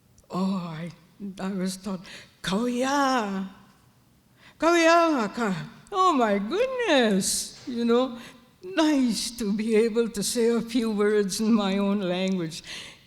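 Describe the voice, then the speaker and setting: Very slow and full of long, frequent pauses, a man with a high pitch talks in a room with audible echo. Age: old. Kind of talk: elder's opening address.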